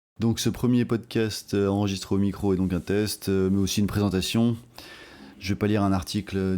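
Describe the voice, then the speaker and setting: This man's voice is very deep and low, with a dark, mellow tone. He speaks at a fairly quick pace with fairly even intonation. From France (overseas territories). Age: 40s. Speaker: political podcaster. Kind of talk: casual monologue podcast. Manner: hesitant, many fillers.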